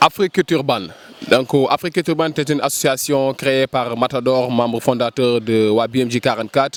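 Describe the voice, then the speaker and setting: Dry and close with no echo, the recording captures a man with an unremarkable speaking voice. His medium-pitched voice shows ordinary pitch variation at a moderate pace. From Senegal, Dakar (Ouakam). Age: 30s. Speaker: cultural project manager. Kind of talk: interview.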